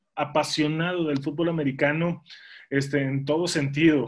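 A man's fairly high-pitched, monotone, flat voice against a quiet background. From Mexico, Monterrey; Nuevo León, Mexico. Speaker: former pro football player and sports commentator; guest. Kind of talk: interview. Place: home room. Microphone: video call.

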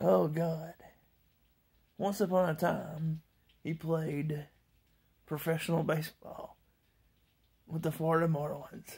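A woman speaks very slowly in a very deep, low voice with a dark, mellow tone and a somewhat breathy quality. Her intonation is fairly even, her pauses long and frequent, and the background quiet. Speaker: amateur comedy vlogger. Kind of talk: rambling deadpan stand-up style storytelling monologue. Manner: meandering, self-interrupting, laughs at own jokes; loose, irreverent mock-fairy-tale delivery. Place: home room. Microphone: phone near.

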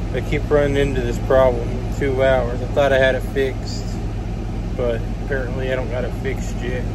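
Noticeable background noise runs under the speech. The pace is moderate, and the sound is dry with no echo. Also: man. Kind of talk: casual vlog chat. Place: car. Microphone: phone near.

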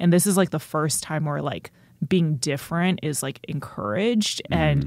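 A woman's very deep, low voice with vocal fry, an American accent, ordinary pitch variation and a moderate pace. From North Texas (Richardson). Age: 20s. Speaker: stand-up comedian. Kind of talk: casual interview.

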